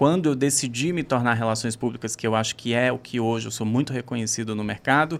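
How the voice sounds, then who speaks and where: Speaking at a very fast pace with hardly any pauses, a man uses a medium pitch and ordinary pitch variation. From Brazil, Bahia (Northeast). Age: 30s. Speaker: public relations professional. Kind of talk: podcast interview.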